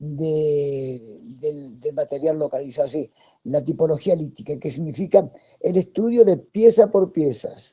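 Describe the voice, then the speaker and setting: In a dark, mellow tone, a man with a fairly high pitch talks very slowly with lively intonation. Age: 70s. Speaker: anthropologist and archaeologist. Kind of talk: video call talk, personal history. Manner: hesitant, with fillers and repetitions.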